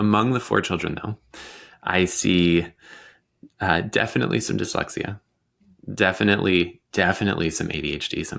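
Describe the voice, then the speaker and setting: A man with a very deep, low pitch and vocal fry speaks at a moderate pace. He takes long, frequent pauses, and the recording is very clean with a silent background. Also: ordinary pitch variation. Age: 30s. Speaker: dyslexia coach. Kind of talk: podcast interview.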